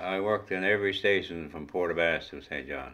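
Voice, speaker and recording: This man talks at a moderate pace. He speaks with a Newfoundland accent. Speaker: retired train dispatcher. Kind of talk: interview testimony.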